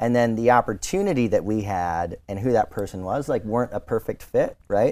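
Dark, mellow male voice at medium pitch on a very clean recording with a silent background. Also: ordinary pitch variation, fairly quick pace. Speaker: podcast host. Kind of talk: casual interview chat.

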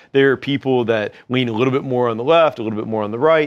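A man with an American accent speaks in a normal speaking voice at a medium pitch, his intonation lively against a quiet background. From western Kentucky, US South. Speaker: company founder and CEO. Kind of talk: interview conversation. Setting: office.

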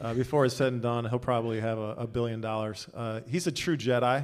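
Talking at a very fast pace, a man holds a medium pitch with fairly even intonation. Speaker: tech executive. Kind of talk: live podcast interview. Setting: stage with audience.

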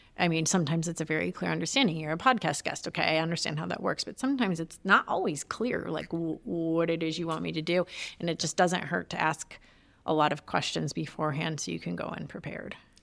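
A very fast voice in a Midwestern American accent, with vocal fry and ordinary pitch variation, on a very clean recording with a silent background. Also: woman, fairly low pitch for a woman. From Detroit area, Michigan. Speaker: entrepreneur and former journalist. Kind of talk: interview conversation. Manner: fast talker; fumbles words when excited.

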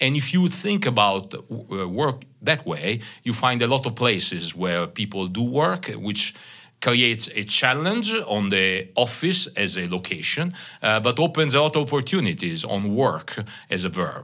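A man with a slight Italian accent talks at a fairly slow pace in a bright, sharp tone. His medium pitch makes very wide swings. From Italy, Bologna. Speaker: company CEO. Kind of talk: interview. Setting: conference room.

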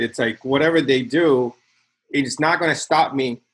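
This is a man with a Spanish accent. He talks at a fairly high pitch. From Nicaragua. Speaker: tech company CTO and co-founder. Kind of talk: casual interview conversation. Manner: intense, aggressive.

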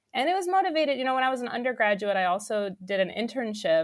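Very fast speech from a woman with an American accent, ordinary pitch variation, on a very clean recording with a silent background. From New York. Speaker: research director, materials scientist. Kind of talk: interview. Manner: animated.

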